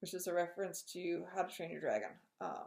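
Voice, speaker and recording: Mumbling at a fairly quick pace, a woman speaks at a medium pitch with a dark, mellow tone. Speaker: knitting podcaster. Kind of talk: casual chat.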